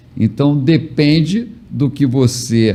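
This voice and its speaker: A man with a medium pitch sounds somewhat breathy and uses ordinary pitch variation. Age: 70s. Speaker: motivational speaker and mentor. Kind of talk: casual chat.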